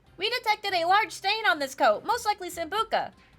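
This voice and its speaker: A woman uses a put-on character voice that is squeaky and extremely high. She speaks at a very fast pace. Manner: authoritative, scolding, investigative.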